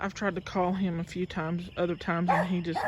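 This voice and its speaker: A woman mumbles her words. Her pace is fairly quick. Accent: Southern US. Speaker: gardening vlogger. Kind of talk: casual vlog tour. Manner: mumbling.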